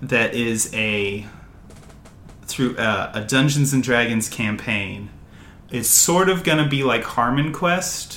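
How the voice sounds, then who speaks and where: Very slow speech in an American accent, with lively intonation, long, frequent pauses and noticeable background noise. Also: man, medium pitch for a man. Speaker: podcast co-host. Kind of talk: casual chat. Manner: hesitant, many fillers.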